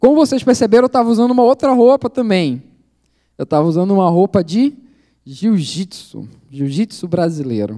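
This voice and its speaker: At a fairly quick pace, a man with a high pitch and a dark, mellow tone swings very widely in pitch, the sound dry and close with no echo. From Brazil, Belém do Pará. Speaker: missionary. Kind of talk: sermon.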